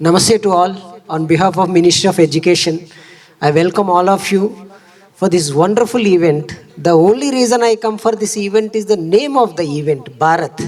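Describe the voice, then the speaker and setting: Over noticeable background noise, a man with an Indian accent speaks at a fairly quick pace in a high pitch with ordinary pitch variation. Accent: Indian English (Telugu). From India, Telugu states. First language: Telugu. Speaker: education official, keynote speaker. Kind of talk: speech at awards event.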